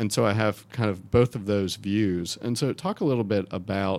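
An unremarkable speaking voice from a man with an American accent, fairly low in pitch with ordinary pitch variation, at a moderate pace. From North Carolina (Wake County). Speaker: education reporter and podcast host. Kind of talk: interview.

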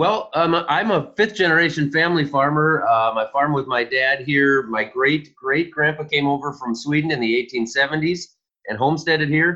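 A man with a Minnesotan accent speaks at a moderate pace with hardly any pauses, his fairly high pitch showing ordinary pitch variation. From Minnesota, west central. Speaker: farmer. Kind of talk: interview.

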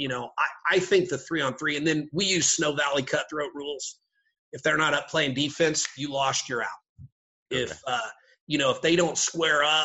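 Using a normal speaking voice with an American accent, a man speaks at a moderate pace with a fairly high pitch and fairly even intonation. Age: 50s. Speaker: basketball coach and teacher. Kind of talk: casual chat.

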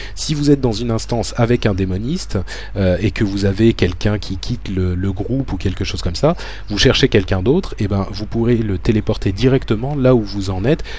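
Over noticeable background noise, a man with a fairly low pitch talks at a fairly quick pace with ordinary pitch variation. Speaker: podcast host. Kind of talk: scripted narration; casual chat. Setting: recorded alone at home.

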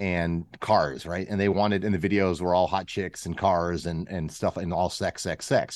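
In a very clean recording with a silent background, a man with an American accent speaks at a moderate pace with a very deep, low pitch. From western Pennsylvania, US. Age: 50s. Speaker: former strip club DJ and rock singer. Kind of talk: casual interview.

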